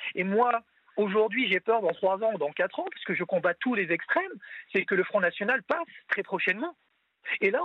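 The pace is fairly quick. There are long, frequent pauses. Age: 40s. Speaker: caller. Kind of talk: opinionated call-in. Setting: phone call. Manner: emotional, angry.

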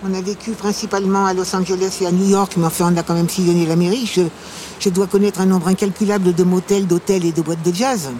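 A woman at a medium pitch and very fast pace, with fairly even intonation over noticeable background noise. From Paris. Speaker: actress. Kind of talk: casual chat. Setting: outdoors.

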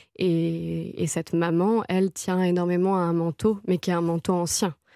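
Recorded very cleanly with a silent background and a dry, close sound with no echo, the voice has a dark, mellow tone, a monotone, flat intonation, and a fairly slow pace. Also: woman. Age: 30s. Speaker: novelist. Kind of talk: radio interview. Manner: halting, many fillers and repetitions.

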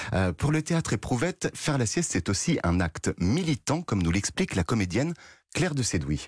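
Against a quiet background, a man with vocal fry talks at a fairly quick pace, his pitch swinging very widely while his loudness stays very even, in a dry, close sound with no echo. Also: medium pitch for a man. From France, Nièvre. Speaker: culture news columnist. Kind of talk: radio news segment.

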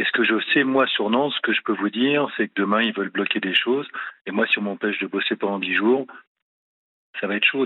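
A man with medium pitch and ordinary pitch variation talks in an unremarkable speaking voice. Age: 50s. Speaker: business owner. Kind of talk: radio call-in. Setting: phone call.

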